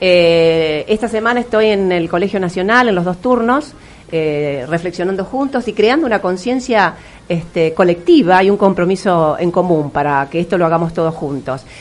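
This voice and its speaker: With a Rioplatense accent, this speaker talks at a moderate pace with lively intonation while noticeable background noise runs underneath. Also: woman, medium pitch for a woman. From Argentina, Río de la Plata region. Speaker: English teacher and educator. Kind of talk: interview.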